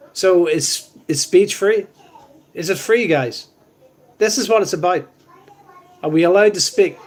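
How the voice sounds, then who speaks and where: This man's voice sits high in pitch. He speaks with a Northern Irish accent. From Northern Ireland. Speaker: live stream co-host. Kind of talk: casual chat. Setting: live stream.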